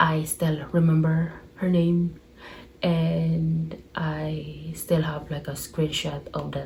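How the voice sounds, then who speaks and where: A woman with a Filipino accent speaks at a very slow pace. Echo from the room is audible. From Philippines. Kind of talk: casual chat. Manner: rambling.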